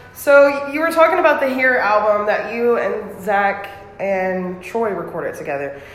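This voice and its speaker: Very wide pitch swings run through a woman's fairly high voice as she talks with an American accent at a moderate pace over noticeable background noise. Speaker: podcast host. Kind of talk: casual interview chat. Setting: restaurant.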